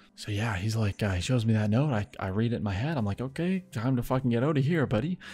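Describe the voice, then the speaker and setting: A man whispers very fast and somewhat breathily with hardly any pauses, in a very clean recording with a silent background. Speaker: YouTuber, gaming channel storyteller. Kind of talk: casual storytelling. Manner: whispering; animated.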